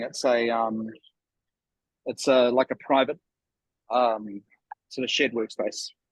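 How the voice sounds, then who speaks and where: A man with a New Zealand accent, in a dry, close sound with no echo. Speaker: venture capital partner and company director. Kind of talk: casual chat. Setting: video call from a shared workspace. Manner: halting, many fillers.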